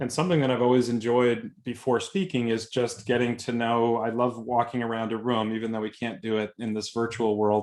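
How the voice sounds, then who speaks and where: With a Boston accent, a man speaks at a fairly quick pace and medium pitch, with fairly even intonation and hardly any pauses. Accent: thick Boston. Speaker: software consultant and speaker. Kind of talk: webinar presentation. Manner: informal.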